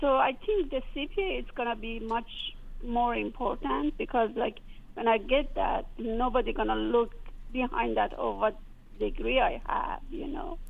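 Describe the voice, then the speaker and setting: A woman speaks with a Persian accent. Her pace is fairly slow. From Iran. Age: 40s. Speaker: caller. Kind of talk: call-in conversation. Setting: phone call. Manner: halting.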